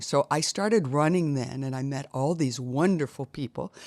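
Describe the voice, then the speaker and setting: A woman with an American accent speaks at a moderate pace with ordinary pitch variation, recorded very cleanly against a silent background with a dry, close sound and no echo. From US Midwest, Iowa. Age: 70s. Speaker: triathlete. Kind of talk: interview.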